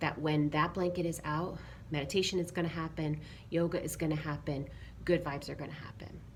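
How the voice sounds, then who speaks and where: A soft-spoken, somewhat breathy woman's voice, very deep and low in pitch, at a fairly quick pace with fairly even intonation. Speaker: yoga teacher. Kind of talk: casual talk to camera.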